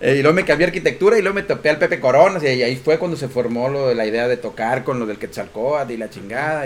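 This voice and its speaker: Speaking very fast with hardly any pauses, a man with a Mexican accent uses lively intonation at a fairly high pitch. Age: 40s. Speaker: podcast co-host. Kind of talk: casual chat.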